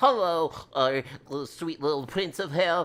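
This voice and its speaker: A put-on character voice at middle pitch and moderate pace. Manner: sweetly nerdy, playful.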